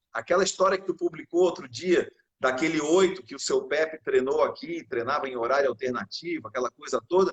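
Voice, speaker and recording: With a strong Florianópolis accent, the voice has an animated tone and ordinary pitch variation. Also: man, high pitch for a man, fairly quick pace. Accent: Florianópolis (manezinho) accent, strong. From Florianópolis, Santa Catarina, southern Brazil. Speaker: rowing champion athlete. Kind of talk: casual chat. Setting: video call livestream.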